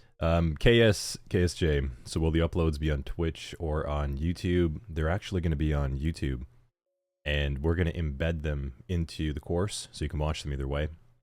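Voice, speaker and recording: A man's very deep, low voice with fairly even intonation is heard in a very clean recording with a silent background. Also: moderate pace. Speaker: cybersecurity instructor. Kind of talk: live-streamed lecture. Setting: live stream. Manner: casual, chatty.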